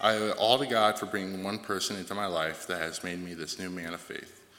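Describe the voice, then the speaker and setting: This man's voice carries a bright, sharp tone at a fairly low pitch. He speaks at a fairly quick pace. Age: 20s. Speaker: church member sharing testimony. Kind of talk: testimony.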